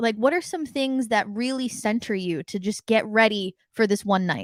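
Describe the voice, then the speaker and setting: A woman speaks at a moderate pace in a plain, everyday voice with an American accent, her fairly high pitch carried by lively intonation in a very clean, silent recording with a dry, close sound and no echo. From United States. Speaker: podcast host. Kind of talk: interview.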